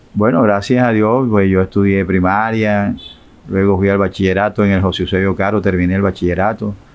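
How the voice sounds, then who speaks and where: With noticeable background noise, a man talks at a fairly quick pace in a fairly low pitch, his intonation monotone and flat and his loudness very even. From Colombia, Barranquilla (Caribbean coast). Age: 60s. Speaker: retired teacher giving religious testimony. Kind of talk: interview testimony. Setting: live stream interview. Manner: halting, with repetitions.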